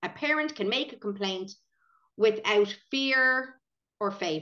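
Bright and sharp in tone, a woman with an Irish accent speaks at a fairly high pitch with lively intonation. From Ireland, County Meath. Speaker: preschool owner and podcast co-host. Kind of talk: casual chat.

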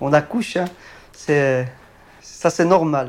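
Speaking at a fairly slow pace, a man with a fairly high pitch uses ordinary pitch variation. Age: 30s. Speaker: hospital night cleaner. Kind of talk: interview testimony. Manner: halting.

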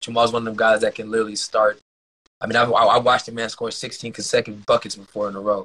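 Recorded with a dry, close sound and no echo, this man has an unremarkable speaking voice, a medium pitch and ordinary pitch variation. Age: 30s. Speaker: former pro basketball player. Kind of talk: casual interview.

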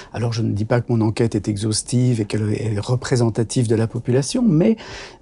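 At a fairly quick pace, a man speaks in a somewhat breathy voice with a dark, mellow tone. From Belgium, Brussels. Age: 60s. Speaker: doctor and author. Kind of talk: interview conversation. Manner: hesitant, many fillers.

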